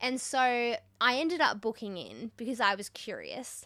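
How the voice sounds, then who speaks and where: An Australian accent from a woman with a bright, sharp tone and ordinary pitch variation. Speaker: podcast host. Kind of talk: casual chat. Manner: animated.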